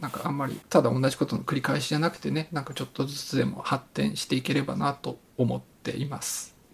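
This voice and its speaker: Rattling along at a very fast pace with hardly any pauses, a man speaks at a fairly high pitch with fairly even intonation. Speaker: podcast host presenting research papers. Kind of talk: casual chat. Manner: flat, little emotion.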